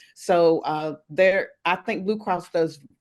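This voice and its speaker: A woman with an unremarkable speaking voice talks at a fairly slow pace, her pitch fairly low and her pitch variation ordinary, over a quiet background. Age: 60s. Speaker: wellness coach. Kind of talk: interview.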